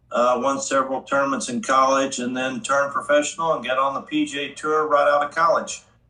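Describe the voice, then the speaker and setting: A man with an American accent, fairly high-pitched, at a fairly quick pace with hardly any pauses and ordinary pitch variation, over noticeable background noise. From southern Illinois (Metropolis). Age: 60s. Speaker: professional golfer. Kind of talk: casual interview.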